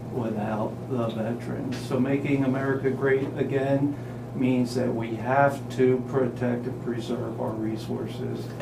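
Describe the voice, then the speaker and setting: Over noticeable background noise and audible room echo, a man at medium pitch speaks at a fairly slow pace with monotone, flat intonation. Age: 60s. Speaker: healthcare company CEO. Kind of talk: radio interview.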